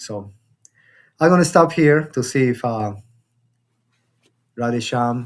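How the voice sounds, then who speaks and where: A man with a Spanish accent. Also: very clean recording, silent background. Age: 50s. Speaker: spiritual teacher. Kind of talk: spiritual discussion class. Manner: halting, many repetitions.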